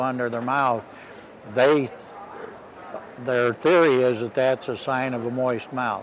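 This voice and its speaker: Noticeable background noise behind a man's moderate-paced delivery, his pitch medium and his intonation fairly even. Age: 60s. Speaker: horse bit designer and clinician. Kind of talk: interview.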